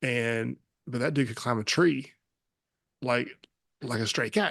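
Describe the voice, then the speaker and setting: A man with a West Texas accent, fairly even intonation, and a quiet background. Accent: West Texas American. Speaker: podcast host, army veteran. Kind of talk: casual interview chat. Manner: fast; words run together.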